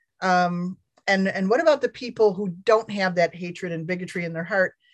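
This is an ordinary speaking voice. It moves at a fairly quick pace. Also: woman. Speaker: call facilitator for advocacy campaign. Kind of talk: group video call discussion. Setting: video call.

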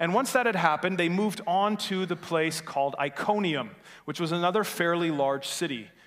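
A man with an Upper Peninsula Michigan accent, high-pitched and fairly quick, with ordinary pitch variation and audible room echo. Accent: Upper Midwest (Yooper). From Upper Peninsula of Michigan, Norway MI. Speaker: pastor. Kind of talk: sermon.

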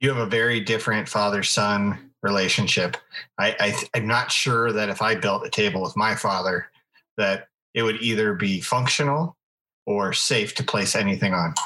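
A man talks in a plain, everyday voice, fairly low in pitch. His pace is moderate, his loudness very even and his pitch variation ordinary. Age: 40s. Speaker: podcast co-host. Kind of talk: casual chat.

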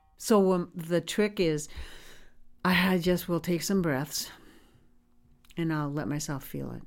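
With music playing behind her, a woman with a fairly low pitch speaks slowly in an animated tone, her pitch varying in an ordinary way and her long pauses coming often. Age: 70s. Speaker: storyteller sharing personal story. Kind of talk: personal testimony. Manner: animated, laughs often.

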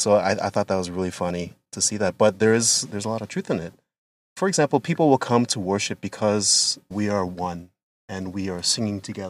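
In a dry, close sound with no echo, a man with a Canadian accent talks at a fairly quick pace in a plain, everyday voice, fairly low in pitch with ordinary pitch variation. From London, Ontario, Canada. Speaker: pastor. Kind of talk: casual chat. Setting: in a car.

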